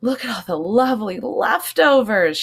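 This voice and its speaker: Putting on a squeaky character voice, a woman speaks at a moderate pace with a fairly high pitch. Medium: read story. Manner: eager, lively.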